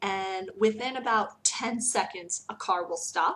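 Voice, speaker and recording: In a normal speaking voice, a woman with an American accent speaks at a medium pitch with ordinary pitch variation. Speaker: teacher. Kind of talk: casual vlog talk.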